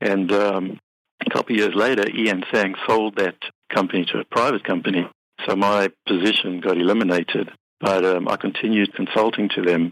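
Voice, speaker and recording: A man with a South African accent talks at a fairly quick pace and fairly low pitch in a monotone, flat intonation, the sound dry and close with no echo. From South Africa, Cape Town. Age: 50s. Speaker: accountant and business software company CEO. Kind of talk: podcast interview.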